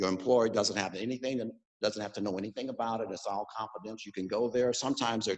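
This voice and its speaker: A man speaks at a very fast pace. His pitch sits in the medium range, and his intonation is fairly even. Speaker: mental health professional. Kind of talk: talk to a club meeting.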